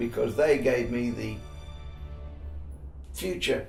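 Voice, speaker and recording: Over music in the background, a man with an Australian accent speaks at a very slow pace. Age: 80s+. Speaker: war veteran. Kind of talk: interview answer.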